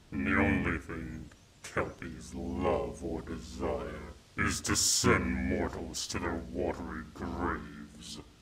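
A man speaks very slowly in a very deep, low pitch. His intonation is fairly even over noticeable background noise. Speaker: ASMR roleplay performer. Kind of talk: roleplay ASMR, bedtime-story style, dragon character addressing listener as mortal. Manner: slow, soft, possessive and seductive, menacing yet tender, with teasing laughs; formal, archaic and haughty dragon persona.

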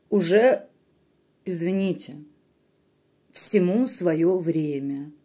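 A woman's dark, mellow voice, fairly low in pitch, with lively intonation, a very slow pace and long, frequent pauses over a quiet background. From Russia. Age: 30s. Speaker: video blogger; vlogger. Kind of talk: political monologue to camera. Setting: recorded at night at home. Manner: animated. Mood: earnest, emotional political appeal. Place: home room. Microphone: phone near.

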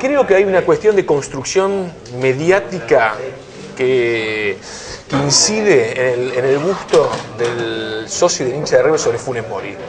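Over noticeable background noise, a man with a fairly high pitch talks at a fairly slow pace, his pitch swinging very widely. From Argentina. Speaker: football journalist and TV host; football journalist, TV host. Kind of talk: casual football discussion. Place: cafe.

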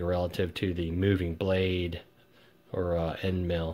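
A man speaks at a very slow pace in a very deep, low pitch. His intonation is monotone and flat. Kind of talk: casual tutorial commentary. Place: workshop.

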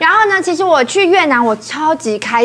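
Her pitch leaping very widely, a woman talks rather quickly. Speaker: TV talk show guest. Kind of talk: TV talk show panel chat. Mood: cheerful, animated. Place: studio. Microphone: lapel.

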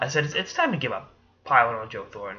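A man speaks with an American accent at a fairly quick pace. There is light background noise. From Boston area, Massachusetts. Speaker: sports commentator. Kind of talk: casual sports commentary. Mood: casual, opinionated. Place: home room. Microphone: webcam.

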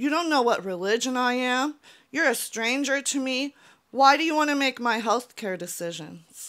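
A woman speaks with a bright, sharp tone at a high pitch against a quiet background. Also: lively intonation, moderate pace. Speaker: YouTuber. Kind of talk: personal vlog monologue; opinion commentary vlog. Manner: earnest, emotional. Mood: earnest, frustrated. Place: home room. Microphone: handheld.

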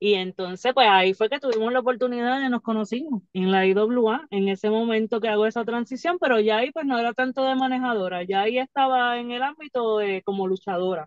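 A normal speaking voice moves at a fairly quick pace with hardly any pauses and ordinary pitch variation, against a quiet background with a dry sound and no echo. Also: woman, fairly high pitch for a woman. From Puerto Rico. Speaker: professional wrestler; podcast guest. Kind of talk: casual interview. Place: car. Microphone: phone near.

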